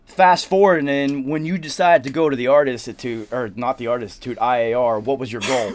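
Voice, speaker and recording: With a Southern US accent, a man at medium pitch talks with hardly any pauses and ordinary pitch variation over noticeable background noise. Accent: southern drawl. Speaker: recording engineer and show host. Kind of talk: casual chat. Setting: studio.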